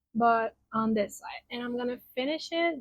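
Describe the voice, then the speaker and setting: Speaking slowly-ish with a Spanish accent, a woman uses a fairly high pitch and ordinary pitch variation at a fairly slow pace. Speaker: crochet content creator. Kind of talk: tutorial; casual chat.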